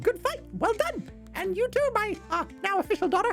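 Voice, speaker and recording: A squeaky, put-on character voice speaks at a moderate pace. Music plays in the background. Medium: actual play. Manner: hearty, casual.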